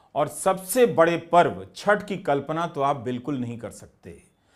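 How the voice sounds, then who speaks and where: There is lively intonation in this man's speech. The background is silent and the recording very clean. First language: Bhojpuri (speaking Hindi). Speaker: journalist / video essayist. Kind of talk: scripted narration.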